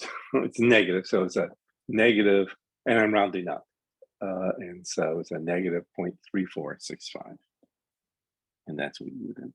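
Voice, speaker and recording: With a very deep, low pitch, a man speaks at a moderate pace with ordinary pitch variation, big swings in loudness and long, frequent pauses, in a dry, close sound with no echo. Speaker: math instructor. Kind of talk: lecture. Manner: halting.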